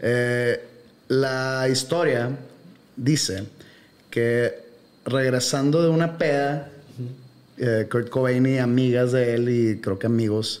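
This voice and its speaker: A man talks at a very slow pace with long, frequent pauses, very even loudness, and fairly even intonation. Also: medium pitch for a man. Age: 40s. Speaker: podcast host. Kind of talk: casual chat.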